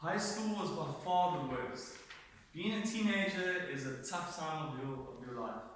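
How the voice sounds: In a room with strong echo, a man speaks at a fairly slow pace with a fairly high pitch, ordinary pitch variation and a fairly bright tone.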